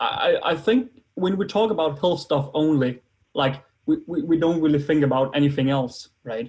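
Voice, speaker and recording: In a Danish accent, a man speaks at a moderate pace with a fairly high pitch and lively intonation. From Denmark. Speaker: biohacking enthusiast. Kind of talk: interview. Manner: halting.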